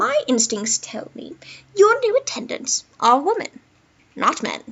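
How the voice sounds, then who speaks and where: A quiet, female-sounding, high-pitched put-on character voice at a fairly slow pace. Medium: read story. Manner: quiet, knowing.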